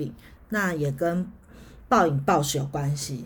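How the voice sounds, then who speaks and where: There is audible room echo. The voice sounds somewhat breathy. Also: woman. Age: 40s. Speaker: podcast host, astrology. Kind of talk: solo educational talk. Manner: hesitant, many filler sounds.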